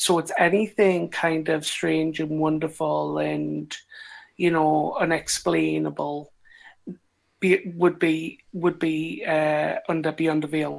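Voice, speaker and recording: This woman speaks very slowly with a Geordie accent. The recording is very clean, with a silent background. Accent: British (Geordie). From northern England, Newcastle upon Tyne. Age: 30s. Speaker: online community founder. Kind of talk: podcast interview. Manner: hesitant, filler-heavy.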